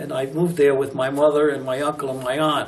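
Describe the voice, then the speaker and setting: At a moderate pace, a man speaks with fairly high pitch, with audible room echo and noticeable background noise. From US Northeast, Newport, Rhode Island. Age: 80s+. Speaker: retired teacher and museum docent. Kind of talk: oral history interview. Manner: hesitant, many filler words.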